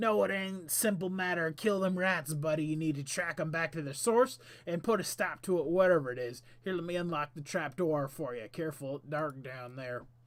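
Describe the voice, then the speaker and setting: A man's gruff, put-on character voice, fairly high in pitch, raised and projected, at a fairly quick pace. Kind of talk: comic put-on voice. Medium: solo performance. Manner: folksy.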